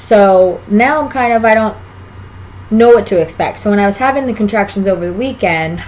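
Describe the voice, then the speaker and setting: Fairly high-pitched woman's voice, fairly quick in pace, with ordinary pitch variation. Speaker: vlogger, expectant mother. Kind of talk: casual vlog monologue.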